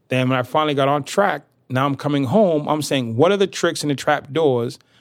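A man with an American accent and an unremarkable speaking voice talks at a fairly quick pace with a fairly high pitch on a very clean recording with a silent background. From US Northeast, inner-city Boston. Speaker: motivational speaker, former prisoner. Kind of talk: interview.

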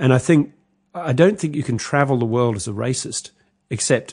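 Ordinary pitch variation in a New Zealand accent at a moderate pace, against a quiet background. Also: man. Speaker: journalist and author. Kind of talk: interview.

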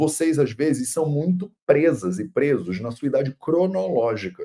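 A man speaks at a moderate pace, fairly high for a man. His tone is dark and mellow, with vocal fry. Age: 30s. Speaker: Ayurveda teacher and video podcast host. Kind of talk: casual solo commentary on a video. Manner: animated.

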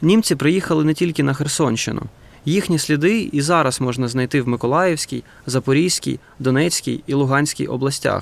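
At a moderate pace, a man with an unremarkable speaking voice, fairly high in pitch, speaks with ordinary pitch variation and very even loudness. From Ukraine, Donetsk. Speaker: film director, podcast co-host. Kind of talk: scripted narration.

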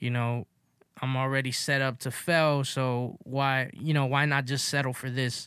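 In a very clean recording with a silent background, a man speaks at a fairly slow pace and a medium pitch. His intonation is monotone and flat, his tone bright and sharp. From Los Angeles, South Central. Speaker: podcast host. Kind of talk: casual chat.

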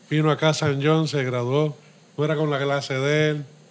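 In a fairly high, monotone and flat voice, a man speaks at a moderate pace. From Puerto Rico, Río Piedras. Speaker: brewery co-founder. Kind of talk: interview conversation. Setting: beer shop.

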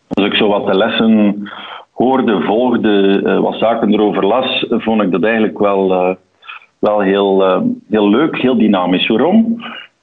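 A man with an Antwerp accent, fairly low in pitch, at a very slow pace, with very even loudness, fairly even intonation and audible room echo. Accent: Antwerp Flemish. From Belgium, Antwerp. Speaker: audit partner. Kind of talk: interview.

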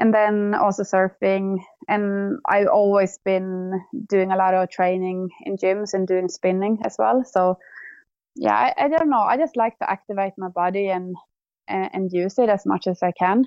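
At a fairly slow pace, a woman with a Swedish accent speaks in a medium pitch with ordinary pitch variation. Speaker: cyclist and snowboarder. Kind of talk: casual chat.

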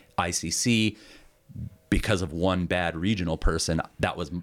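On a very clean recording with a silent background, a man with an American accent speaks in a very deep, low voice marked by vocal fry. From Montana (Florence, near Missoula). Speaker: retired fire captain. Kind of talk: interview. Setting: in person at guest's home area. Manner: hesitant, many fillers.

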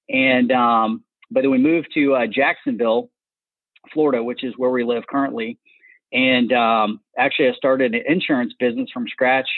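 A man at medium pitch and moderate pace, with fairly even intonation. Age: 40s. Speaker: entrepreneur and coach. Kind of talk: interview. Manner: many filler words, hesitant.

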